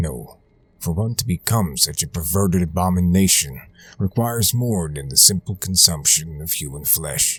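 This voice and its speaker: Over music in the background, a man with a very deep, low pitch talks at a moderate pace with lively intonation and big swings in loudness. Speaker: horror story narrator. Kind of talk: creepypasta horror storytelling, western campfire tale.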